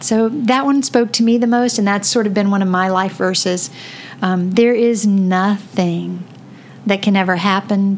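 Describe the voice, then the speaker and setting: With a Southern US accent, a woman talks at a fairly slow pace with ordinary pitch variation amid noticeable background noise. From Florida. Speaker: podcast host. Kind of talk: casual chat. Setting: home basement studio.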